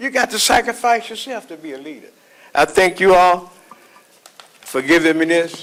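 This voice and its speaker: A man with a high voice and an American accent speaks at a moderate pace in an animated tone, his lively intonation and big loudness swings broken by long, frequent pauses over noticeable background noise. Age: 70s. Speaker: pastor. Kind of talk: speech at council meeting. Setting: council chambers. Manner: animated, call-and-response preaching style.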